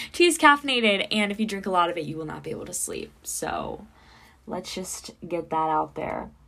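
On a very clean recording with a silent background, a woman speaks at a moderate pace with big swings in loudness. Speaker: podcast host, college student. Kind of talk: casual solo podcast talk. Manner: chatty, laughs often.

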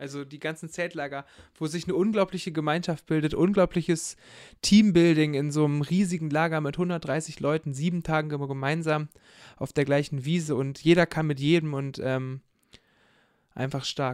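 A man with a normal speaking voice talks at a moderate pace and a fairly high pitch. His intonation is fairly even, and the recording is very clean with a silent background. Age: 20s. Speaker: theology student and church youth worker. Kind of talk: casual chat.

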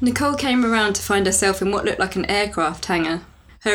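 With ordinary pitch variation, an unforced reading voice carries the clip.

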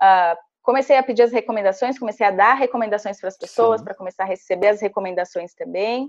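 A woman talks at a very fast pace with hardly any pauses, her pitch medium. The pitch variation is ordinary, and the sound is dry and close with no echo. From Santa Catarina, Brazil (small interior town). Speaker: tech company relationship manager, former recruiter. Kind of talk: interview, career advice tutorial.

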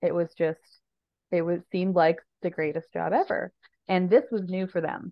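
A woman's unremarkable speaking voice, fairly low in pitch, with a Canadian accent, at a moderate pace. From Ontario, Canada (Sault Ste. Marie). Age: 30s. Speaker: harm reduction advocate. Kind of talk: casual interview.

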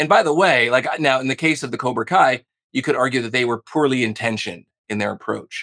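A man's medium-pitched voice with vocal fry and ordinary pitch variation, delivered at a very fast pace. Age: 40s. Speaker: sales trainer. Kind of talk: interview.

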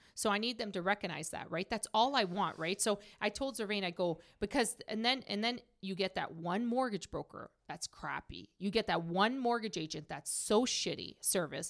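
In a plain, everyday voice, a woman at medium pitch talks at a moderate pace with ordinary pitch variation and hardly any pauses. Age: 30s. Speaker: mortgage business owner. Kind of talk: casual chat.

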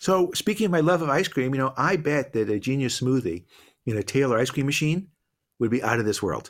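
Over a very clean recording with a silent background, a man with an American accent speaks at a fairly quick pace and medium pitch, with very wide pitch swings yet very even loudness. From Boston. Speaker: business professor and entrepreneur. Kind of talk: interview conversation.

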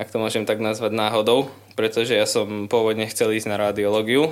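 A man at medium pitch and moderate pace, an ordinary speaking voice on a very clean recording with a silent background. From Slovakia, Liptov region. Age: 20s. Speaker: university student. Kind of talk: casual interview.

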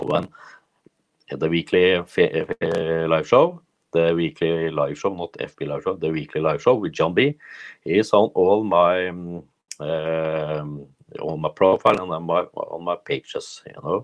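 Speaking at a very slow pace with long, frequent pauses, a man uses a very deep, low voice with ordinary pitch variation. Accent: Norwegian. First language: Norwegian. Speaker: personal development coach. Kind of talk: solo livestream monologue. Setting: Facebook live video. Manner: halting.

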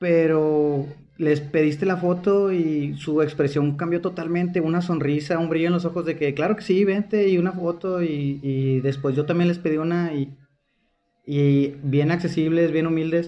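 A man with a normal speaking voice talks at a moderate pace, his fairly high pitch held in fairly even intonation. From Mexico, Monterrey. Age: 20s. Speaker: podcast host. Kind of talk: casual chat.

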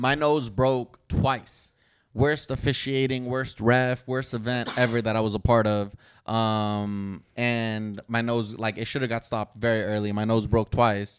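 A man's unremarkable speaking voice at medium pitch and a fairly slow pace, on a very clean recording with a silent background. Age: 30s. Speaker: YouTuber and boxer. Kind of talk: casual chat.

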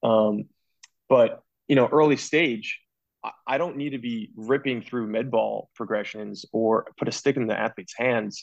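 A man with an ordinary speaking voice talks at a medium pitch and a fairly slow pace, with fairly even intonation. The sound is dry and close, with no echo. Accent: American. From New Jersey. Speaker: physical therapist. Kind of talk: casual interview.

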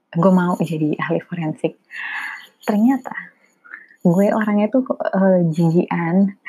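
A woman with a fairly low voice and ordinary pitch variation talks at a very slow pace, leaving long, frequent pauses. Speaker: solo podcaster. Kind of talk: casual monologue. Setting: home recording. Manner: informal, code-switching.

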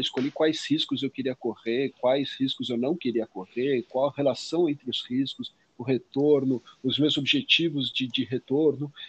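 A man speaks in a normal speaking voice. His pitch is fairly high and his pace fairly slow. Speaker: finance podcast co-host. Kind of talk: casual explanatory chat.

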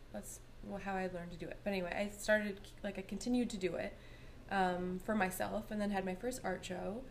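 A fairly quick delivery in a Canadian accent, fairly even intonation, and audible room echo. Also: woman, medium pitch for a woman. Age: 30s. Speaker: artist. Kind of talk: casual chat.

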